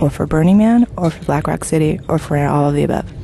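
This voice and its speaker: A woman's very deep, low pitch at a fairly quick pace, with ordinary pitch variation and noticeable background noise. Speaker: podcast interviewer. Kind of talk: casual interviews. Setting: outdoors.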